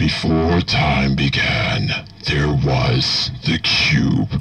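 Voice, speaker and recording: Using a put-on character voice, a man speaks very slowly in a raspy, very deep, low pitch. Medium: tutorial demo. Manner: slow, solemn.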